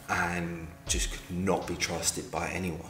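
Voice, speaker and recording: A man's very deep, low voice at a fairly slow pace, with audible room echo and music in the background. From London. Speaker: film reviewer. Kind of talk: casual video review.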